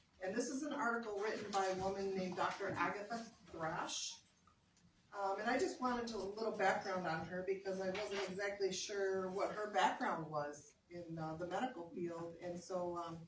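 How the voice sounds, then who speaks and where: With noticeable background noise and audible room echo, a medium-pitched woman speaks at a moderate pace with ordinary pitch variation. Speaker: cooking class presenter. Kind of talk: health talk reading from an article. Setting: live audience. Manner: loud.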